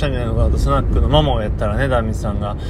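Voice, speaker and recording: A man's speech comes with audible echo from the room and noticeable noise behind it. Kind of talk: casual monologue. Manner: loose, unplanned rambling.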